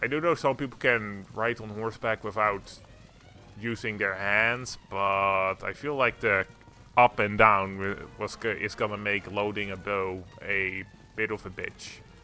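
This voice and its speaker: A man with a fairly low pitch and a bright, sharp tone, at a fairly slow pace with fairly even intonation. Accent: Dutch. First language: Dutch. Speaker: streamer. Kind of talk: gameplay commentary, casual. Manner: flat, fairly monotone.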